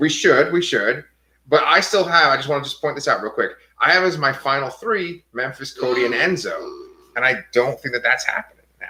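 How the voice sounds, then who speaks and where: This man talks at a fairly quick pace with an American accent. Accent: New York accent, comes out at times. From New York, Staten Island. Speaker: TV show discussion podcaster. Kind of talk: casual chat.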